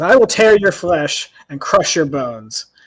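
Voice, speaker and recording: Projecting loudly in a high, put-on character voice, a man speaks at a moderate pace. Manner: menacing.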